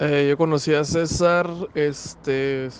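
Fairly high pitch marks this man's voice. The intonation is fairly even. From Chihuahua, northern Mexico (Parral; raised in Ciudad Juárez). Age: 30s. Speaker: graphic designer and podcaster. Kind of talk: recorded voice message answers. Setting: recorded separately, voice message.

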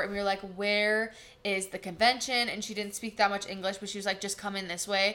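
In an American accent, the voice moves at a very fast pace with a bright, sharp tone. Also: woman. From US Midwest, Wisconsin. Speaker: esthetician and instructor, podcast co-host. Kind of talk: casual chat. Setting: studio.

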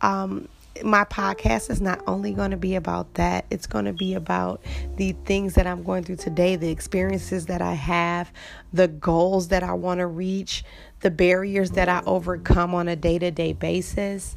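In an American accent, a woman speaks at a moderate pace. The recording is very clean, with a silent background. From Detroit, Michigan. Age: 20s. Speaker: podcast host. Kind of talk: personal monologue. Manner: hesitant, many fillers.

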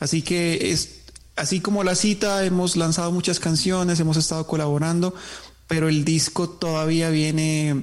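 Through noticeable background noise, a man speaks at a moderate pace in a fairly high voice with fairly even intonation. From southern Colombia, Nariño.

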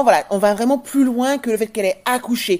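A woman's voice with a dark, mellow tone. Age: 40s. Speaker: podcast host, parenting business manager. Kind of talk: interview.

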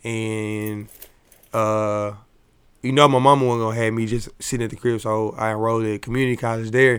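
In a very clean recording with a silent background, a man with an American accent speaks at a moderate pace and medium pitch in a flat monotone. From Dallas, Texas. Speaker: music producer. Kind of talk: casual interview.

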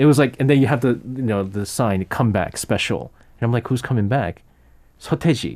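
A man in a New York accent, medium in pitch, moderate in pace, lively in intonation. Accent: New York American English. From US, New York. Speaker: radio host. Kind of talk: casual chat. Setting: studio.

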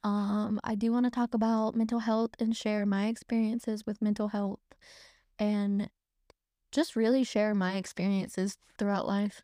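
On a very clean recording with a silent background, a woman with an American accent speaks in a dark, mellow tone at a fairly high pitch. Her intonation is monotone and flat, her loudness very even. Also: moderate pace, dry, close sound with no echo. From North Carolina. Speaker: podcast host. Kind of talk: casual interview.

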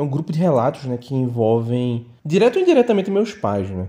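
Lively intonation runs through a man's dark, mellow voice. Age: 30s. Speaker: listener sharing ghost stories. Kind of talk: personal storytelling. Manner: halting, many fillers.

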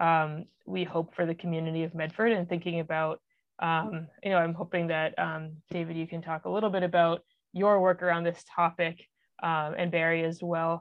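The delivery is at a moderate pace in an American accent. The intonation stays monotone and flat. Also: woman. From Massachusetts, Boston area. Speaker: podcast host. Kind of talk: interview hosting.

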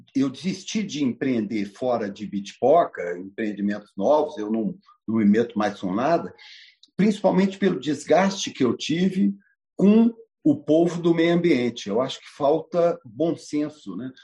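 A man's dark, mellow voice, fairly high in pitch, at a fairly slow pace, with very wide pitch swings and big swings in loudness. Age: 60s. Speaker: businessman. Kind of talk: talk to an online audience.

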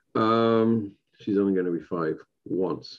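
This man talks with an English accent. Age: middle-aged. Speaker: podcast host and stand-up comedian. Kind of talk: casual solo podcast talk.

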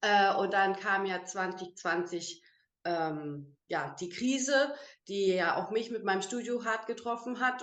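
This is an ordinary speaking voice. Its pitch variation is ordinary too. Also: woman. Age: 30s. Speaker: beautician and network marketer. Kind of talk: online interview. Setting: video call.

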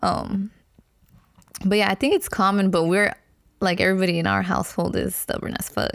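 Her pace fairly quick, a woman speaks with long, frequent pauses. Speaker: podcast co-host. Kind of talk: casual chat. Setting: recording at home, dog barking in background.

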